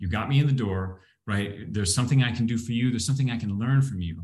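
A man at medium pitch, somewhat breathy, with lively intonation. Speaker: business owner. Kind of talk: panel discussion.

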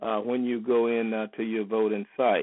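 Medium-pitched male speech in an American accent. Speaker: political commentator. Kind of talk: informational overview. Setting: phone call.

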